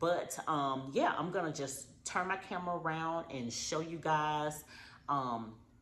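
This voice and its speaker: A woman with a very deep, low pitch and ordinary pitch variation speaks at a fairly slow pace amid audible room echo. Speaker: wedding decorator vlogger. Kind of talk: casual vlog. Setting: at home. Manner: loud.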